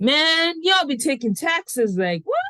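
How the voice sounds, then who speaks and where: With a Nigerian accent, a woman speaks at a fairly slow pace in a high voice, recorded dry and close with no echo. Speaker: podcast host. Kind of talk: casual chat.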